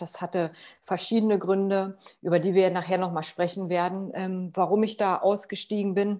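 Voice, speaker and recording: Against a quiet background, a woman talks at a medium pitch with a dark, mellow tone. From Potsdam, Germany. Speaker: sustainability consultant. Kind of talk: interview.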